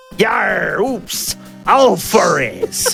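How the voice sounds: Clear music sits behind a put-on character voice pitched fairly high.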